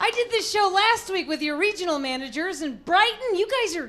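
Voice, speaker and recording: A woman with an American accent uses a raised, projected voice at an extremely high pitch. Her pitch swings very widely over noticeable background noise. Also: hardly any pauses. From Texas, Amarillo. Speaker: comedian. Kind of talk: stand-up. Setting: stage with audience. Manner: animated.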